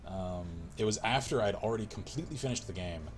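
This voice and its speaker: Very deep and low, a man's voice with vocal fry and an American accent carries lively intonation. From US South, rural small town. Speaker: gaming livestreamer. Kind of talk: casual livestream chat while gaming. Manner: casual, filler-heavy.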